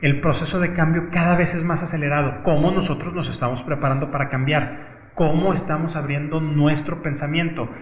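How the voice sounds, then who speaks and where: Against noticeable background noise and audible room echo, a man with a fairly high pitch speaks at a moderate pace in a flat monotone, hardly pausing. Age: 40s. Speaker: lawyer and HR executive. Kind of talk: interview conversation. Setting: in-person recording.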